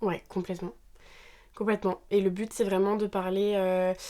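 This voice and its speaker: On a very clean recording with a silent background, a woman speaks at a medium pitch with a dark, mellow tone. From Normandy, France. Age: 20s. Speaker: podcast co-host. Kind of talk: casual chat.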